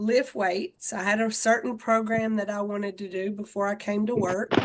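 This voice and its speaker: A woman speaks loudly in a Southern US accent. Her pitch is fairly high. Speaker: fitness and wellness instructor. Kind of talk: casual group video chat.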